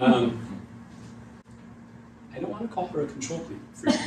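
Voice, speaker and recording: A man speaks at a moderate pace with very wide pitch swings. Noticeable background noise is present. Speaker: psychic medium. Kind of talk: live mediumship demonstration to audience. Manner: hesitant, conversational.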